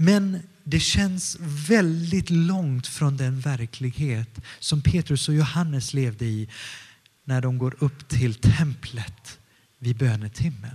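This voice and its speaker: The voice is somewhat breathy, moving at a very slow pace with lively intonation. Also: man, fairly high pitch for a man. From Stockholm area, Sweden, partly northern Italy. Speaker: pastor. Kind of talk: sermon.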